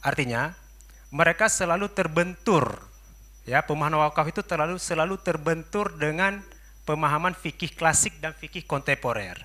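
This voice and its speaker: The man uses an ordinary speaking voice, pitched fairly high, rising and falling in an ordinary way as he goes at a fairly quick clip. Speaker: audience member asking a question. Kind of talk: question from the floor at a seminar. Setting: seminar hall.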